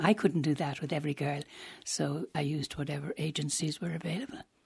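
A woman speaks with a very deep, low pitch and a somewhat breathy quality. Her pace is fairly quick and her intonation fairly even. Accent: Irish. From Ireland. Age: 80s+. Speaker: former columnist and counsellor. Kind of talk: interview.

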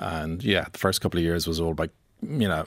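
Very clean and with a silent background, this recording features a man with a very deep, low pitch. He speaks with an Irish accent at a fairly quick pace. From Ireland. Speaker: film producer. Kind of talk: radio interview. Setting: radio studio.

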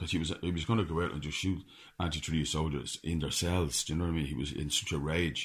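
In a very clean recording with a silent background, a man with an Irish accent speaks in a very deep, low voice that is somewhat breathy. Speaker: author. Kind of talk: radio interview.

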